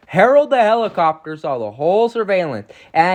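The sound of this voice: Lively intonation runs through the speech. It is an unforced reading voice.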